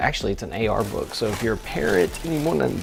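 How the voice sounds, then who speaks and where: Music plays behind a man speaking at medium pitch. Room echo can be heard. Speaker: church media worker and vlogger. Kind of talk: casual vlog. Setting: at home early morning.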